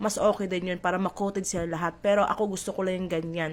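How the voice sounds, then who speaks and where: Here a woman speaks with fairly low pitch. Her intonation is fairly even. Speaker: cooking vlogger. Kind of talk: cooking tutorial. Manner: chatty, playful.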